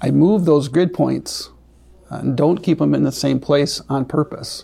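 A man speaks with a Wisconsin accent. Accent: Upper Midwest (Wisconsin). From south central Wisconsin. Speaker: crop consultant and farmer. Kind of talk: interview.

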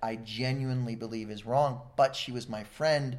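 There is audible room echo around a man's voice. He talks at a fairly quick pace and a medium pitch. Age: 40s. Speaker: retired coast guard veteran and activist. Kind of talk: casual interview chat. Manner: halting, frequent fillers and repetitions.

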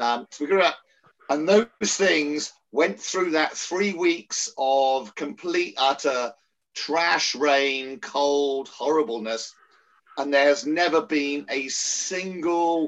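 A man's fairly high voice in an English accent, with ordinary pitch variation and a very slow pace. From England. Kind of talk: casual chat.

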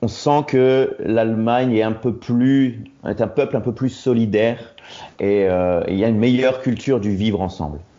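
The man talks at a moderate pace, his medium pitch showing ordinary variation. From Roubaix, northern France. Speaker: expatriate correspondent. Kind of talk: interview. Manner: halting.

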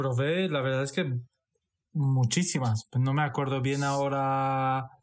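A man talks fairly slowly, his voice somewhat breathy. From Portugal, Romanian-born. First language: Romanian and Hungarian (speaking Spanish). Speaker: former hospitality worker. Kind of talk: casual chat.

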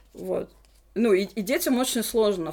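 A woman speaks at medium pitch and a moderate pace, her pitch varying in an ordinary way. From Russia, Nizhny Novgorod. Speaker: English teacher. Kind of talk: casual chat. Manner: stumbling over words.

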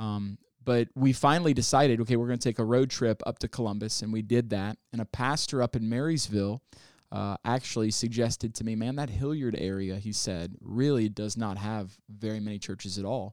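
A man with an American accent and an unremarkable speaking voice talks at a fairly quick pace, at medium pitch with ordinary pitch variation. The recording is very clean with a silent background and a dry, close sound with no echo. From US South, Ozarks. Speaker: pastor, church planter. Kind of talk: interview.

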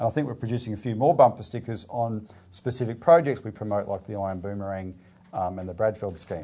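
A man with an Australian accent, fairly low in pitch, with a dark, mellow tone, ordinary pitch variation and a fairly quick pace against a quiet background. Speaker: political party show presenter. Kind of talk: casual current-affairs discussion. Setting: video show.

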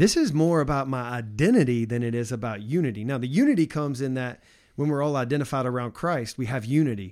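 A man in an ordinary speaking voice, talking at a fairly quick pace with ordinary pitch variation, in a very clean recording against a silent background. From US South. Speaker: podcast host. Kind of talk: casual theological discussion.

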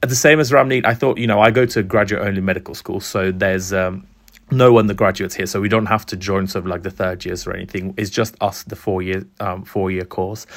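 With hardly any pauses, a man talks at a very fast pace and a fairly low pitch. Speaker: graduate entry medical student.

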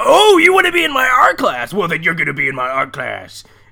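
A man's put-on character voice at a fairly quick pace.

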